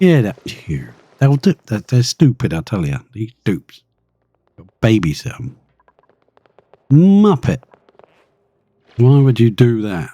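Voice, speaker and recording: A British-accented man talks at a very slow pace, with long, frequent pauses and a medium pitch that swings very widely. His tone is dark, mellow and somewhat breathy, loudness shifts a lot, and the sound is dry and close with no echo. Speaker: video game streamer. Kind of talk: live gameplay commentary. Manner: animated.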